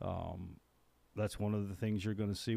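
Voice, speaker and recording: A man's fairly low, dark, mellow voice in a very clean recording with a silent background. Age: 60s. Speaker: podcast co-host. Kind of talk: casual chat.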